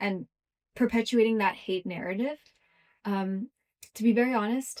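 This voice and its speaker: In a dry, close recording with no echo, a woman with an American accent speaks at a moderate pace in a fairly high pitch, with ordinary pitch variation. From US West Coast, Los Angeles. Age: 20s. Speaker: content creator. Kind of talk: interview.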